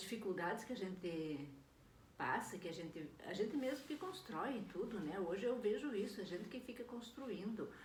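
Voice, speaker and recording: Her voice sits at a medium pitch. The room around her adds an audible echo. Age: 60s. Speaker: vlogger. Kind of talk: personal video diary. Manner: casual, hesitant with fillers.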